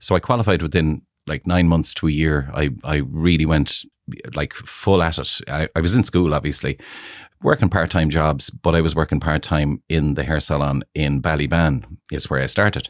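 A man with an Irish accent and a very deep, low pitch speaks at a moderate pace with ordinary pitch variation and vocal fry, in a dry, close, very clean recording with no echo and a silent background. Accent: Irish (Galway). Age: 50s. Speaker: hair salon owner. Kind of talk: casual chat.

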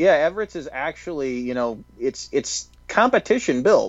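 A man speaks in an ordinary speaking voice, pitched fairly high. His intonation is lively. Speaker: video producer, co-host. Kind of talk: casual chat, commentary on footage.

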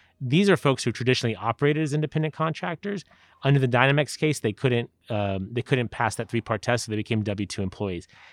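Recorded dry and close with no echo, a man with a Californian accent talks very fast at a medium pitch with lively intonation. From San Diego, California. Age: 40s. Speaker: politician. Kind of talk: interview. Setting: at the host's house.

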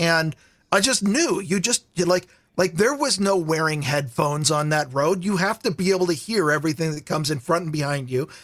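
Speaking at a fairly quick pace, a man with a high pitch shows ordinary pitch variation in a very clean recording with a silent background. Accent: Pacific Northwest. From Vancouver, Washington (Portland area), US Pacific Northwest. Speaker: podcast guest. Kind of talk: casual chat. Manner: halting, repeats words.

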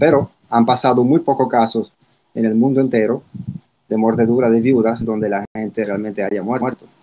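Here a man has a dark, mellow tone. His intonation stays fairly even. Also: medium pitch for a man, moderate pace. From Italy. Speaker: spider expert. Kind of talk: interview.

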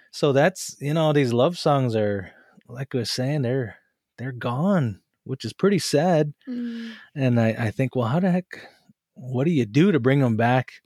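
Fairly slow and with lively intonation, a man with an American accent talks at a fairly high pitch in a plain, everyday voice. The recording is very clean, dry and close, with a silent background and no echo. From western Montana, Flathead Reservation. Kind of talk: casual group discussion.

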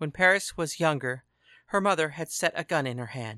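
Delivered at a moderate pace, the speech sits in a very clean recording with a silent background. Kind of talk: dramatic audiobook-style fiction narration.

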